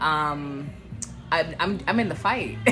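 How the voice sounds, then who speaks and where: A woman at a fairly slow pace, with audible room echo and music in the background. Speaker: vlogger. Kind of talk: personal testimony vlog. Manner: halting, self-correcting; careful, treading lightly.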